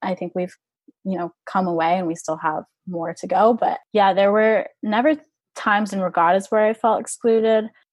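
In an American accent, a woman talks at a moderate pace with an unremarkable speaking voice. Her medium pitch shows ordinary variation, and the sound is dry and close with no echo. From Orlando, Florida. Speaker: college rower. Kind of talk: interview.

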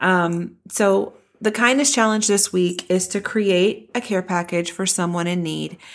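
Someone with an American accent speaks at a fairly slow pace in an ordinary speaking voice. The recording is very clean, with a silent background. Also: woman, medium pitch for a woman, ordinary pitch variation. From Texas, Denton. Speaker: podcast co-host, parent. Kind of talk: casual chat.

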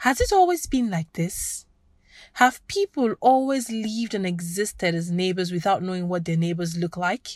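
A woman's medium-pitched, somewhat breathy voice with ordinary pitch variation. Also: moderate pace. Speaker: podcast host and reporter. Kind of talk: scripted narration. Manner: formal.

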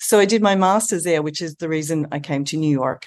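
A woman in an Australian accent speaks with a very deep, low voice and ordinary pitch variation. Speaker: eating disorder treatment center CEO and dietitian. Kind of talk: interview conversation.

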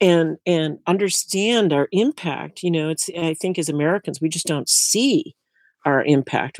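A woman with an unremarkable speaking voice, fairly low in pitch with ordinary pitch variation, at a fairly slow pace, in a dry, close sound with no echo on a very clean recording with a silent background. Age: 60s. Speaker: tiny house builder and sustainability educator. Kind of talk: interview.

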